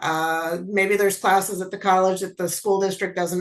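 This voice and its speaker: A woman has an ordinary speaking voice at a medium pitch. She talks at a moderate pace. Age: 60s. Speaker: college program coordinator. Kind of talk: panel webinar talk.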